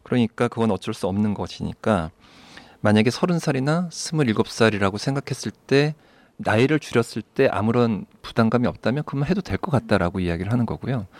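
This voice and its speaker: A man's plain, everyday voice at medium pitch, with lively intonation and a moderate pace, in a very clean recording with a silent background and a dry, close sound with no echo. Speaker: psychiatrist. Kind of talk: advice podcast chat.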